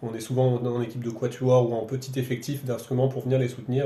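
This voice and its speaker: Audible room echo and noticeable background noise fill the recording. A man of medium pitch speaks at a moderate pace. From France, Roanne area. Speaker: violinist and festival director. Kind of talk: radio interview. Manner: halting, many repetitions.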